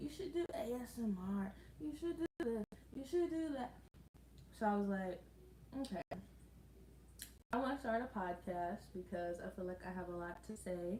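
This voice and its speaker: A woman speaks at a moderate pace, her medium-pitched voice somewhat breathy. Her pitch swings very widely, and she leaves long, frequent pauses. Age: 20s. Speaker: lifestyle vlogger. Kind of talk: casual livestream chat. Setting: live stream at home.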